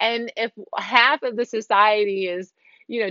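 A woman with an American accent and an ordinary speaking voice, medium in pitch, with ordinary pitch variation and a fairly slow pace. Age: 40s. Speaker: podcast host and salon owner. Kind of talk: solo podcast monologue. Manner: conversational with many fillers.

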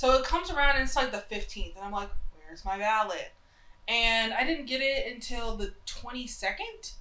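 A woman's raised, projected voice, high in pitch, moves at a moderate pace with lively intonation. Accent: American. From US South, Charlotte, North Carolina. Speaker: podcast co-host. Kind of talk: casual chat.

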